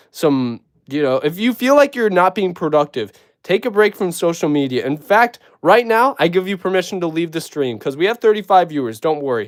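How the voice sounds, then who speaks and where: On a very clean recording with a silent background, a man with a slight Minnesotan accent speaks at a high pitch with very wide pitch swings. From Minnesota, US. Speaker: YouTuber building LEGO figures. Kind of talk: live stream chat. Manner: casual, animated.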